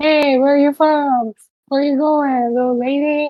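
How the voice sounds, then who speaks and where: In a put-on character voice, a woman speaks with a strong New York accent at a high pitch, her intonation monotone and flat. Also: moderate pace. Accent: thick New York. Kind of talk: friendly, casual.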